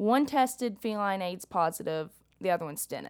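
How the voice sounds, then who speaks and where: Lively intonation runs through a woman's voice with a Southern US accent. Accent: Southern US, country. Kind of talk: casual chat.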